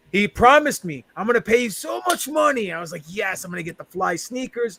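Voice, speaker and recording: With a New York accent, a man uses a raised, projected voice at a high pitch, talking at a fairly quick pace with very wide pitch swings and big swings in loudness. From New York, Queens. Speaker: professional wrestler. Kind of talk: casual chat.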